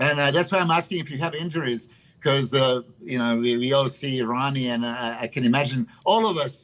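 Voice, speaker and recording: A man with a plain, everyday voice speaks at a fairly quick pace and medium pitch with ordinary pitch variation. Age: 50s. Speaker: bodybuilder. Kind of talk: casual chat.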